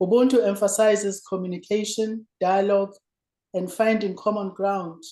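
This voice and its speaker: In a South African accent, a woman speaks with a dark, mellow tone and monotone, flat intonation. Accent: South African (Zulu). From South Africa, rural Zulu village. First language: isiZulu. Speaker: former politician and lecturer. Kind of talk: lecture. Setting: remote video link. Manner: formal.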